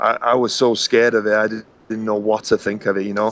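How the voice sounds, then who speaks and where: A man with a Welsh accent speaks at medium pitch. His pace is fairly quick. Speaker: professional wrestler. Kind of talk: interview. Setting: podcast. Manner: halting.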